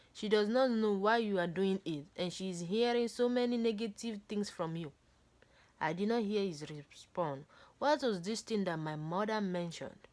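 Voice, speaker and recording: A woman at a moderate pace with lively intonation, on a very clean recording with a silent background. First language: not English. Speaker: book reader. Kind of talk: reading aloud.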